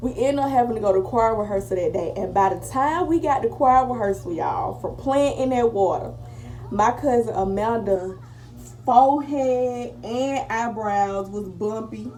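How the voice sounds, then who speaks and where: Amid noticeable background noise and audible room echo, a woman speaks at a moderate pace in a fairly high voice with ordinary pitch variation. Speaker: beauty vlogger. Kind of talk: casual storytime and makeup tutorial. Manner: whispering.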